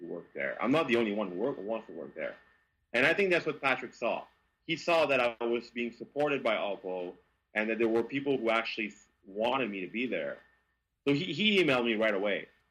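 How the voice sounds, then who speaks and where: Speaking in a Quebec accent, a man talks at a fairly quick pace with very wide pitch swings on a very clean recording with a silent background. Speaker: car journalist. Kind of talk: interview. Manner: halting.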